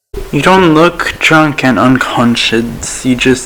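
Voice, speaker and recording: Amid noticeable background noise, a man speaks at a fairly high pitch with ordinary pitch variation. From Australia, outside Sydney. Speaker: YouTuber reacting to videos. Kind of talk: reaction commentary. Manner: casual, hesitant.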